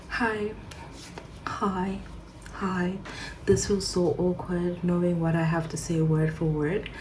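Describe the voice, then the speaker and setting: Over noticeable background noise, a woman speaks very slowly in a fairly low, monotone, flat voice, with long, frequent pauses. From Zimbabwe. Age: 20s. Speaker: nursing student. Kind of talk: casual vlog talk to camera.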